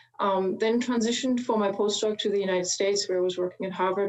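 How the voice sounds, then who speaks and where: A woman's very fast speech in a German accent, medium in pitch, monotone and flat in intonation, very even in loudness, over noticeable background noise. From Germany. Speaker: chemist, translational research leader. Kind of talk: panel opening statement.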